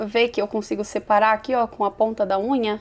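A woman speaks at a fairly high pitch. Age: 30s. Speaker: beauty youtuber. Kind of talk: makeup tutorial and product review. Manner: animated. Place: home room.

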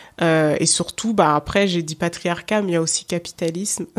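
A woman speaks with an unremarkable speaking voice, fairly low in pitch. The recording is very clean, with a silent background. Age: 30s. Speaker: podcaster. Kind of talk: interview.

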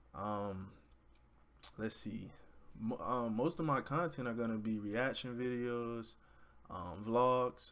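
Ordinary pitch variation marks a man's speech with an American accent. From Florida (Orlando). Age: 20s. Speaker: YouTuber and college student. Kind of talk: casual vlog intro to camera. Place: home room. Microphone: webcam.

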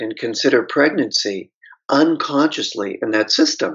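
This is an unremarkable speaking voice with an American accent. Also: man, quiet background. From US, Pittsburgh; Pennsylvania. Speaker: author and trauma therapist; guest. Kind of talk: interview. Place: home room. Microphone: video call.

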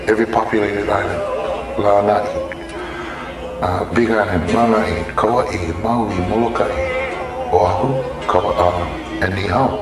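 A man speaks with clear music in the background and audible room echo. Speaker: interviewee. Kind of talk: interview answer. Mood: reflective, warm. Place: garden.

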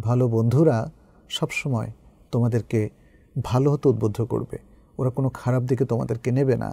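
This man's voice has a dark, mellow tone. There is a somewhat breathy quality to it. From Bangladesh. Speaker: Islamic scholar and professor; professor. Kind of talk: religious lecture answering a student's question; advice talk to students. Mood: calm, warm advising. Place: studio. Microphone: lapel.

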